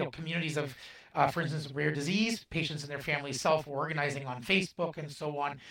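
A man with a Canadian accent talks very fast in a fairly high voice. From Canada. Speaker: CEO of a genomics research organisation. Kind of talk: interview conversation.

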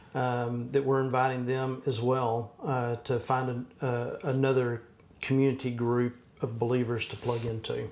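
A man with a Texan accent, medium pitch, fairly slow pace and monotone, flat intonation. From Texas. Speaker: church business administrator. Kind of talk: casual interview.

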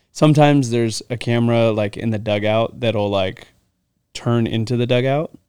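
A man with a plain, everyday voice talks at a moderate pace in a medium pitch, his intonation fairly even. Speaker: baseball player. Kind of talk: casual chat. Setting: video recording.

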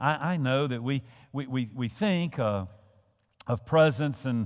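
A man speaks in a Southern US accent with lively intonation. He goes at a fairly slow pace. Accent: Southern US (Georgia). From US South, Georgia. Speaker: pastor. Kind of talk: sermon. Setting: church. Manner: halting, frequent repetitions.

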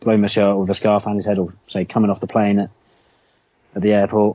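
Speaking with a southern English accent, a man goes at a very fast pace. His pitch is fairly low for a man. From England. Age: 30s. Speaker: football fan. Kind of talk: casual chat.

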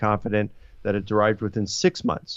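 In a Baltimore accent, a man talks at a very fast pace with a fairly low pitch. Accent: American, Baltimore. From US, Baltimore. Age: 50s. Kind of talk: interview about history and theology.

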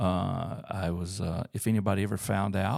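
With an Alabama accent, a man speaks at a moderate pace and fairly low pitch in a dry, close sound with no echo. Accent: Southern US (Alabama). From US South, Auburn, Alabama. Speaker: church staff leader, pastor. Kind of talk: testimony in casual interview. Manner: hesitant, many uh fillers.

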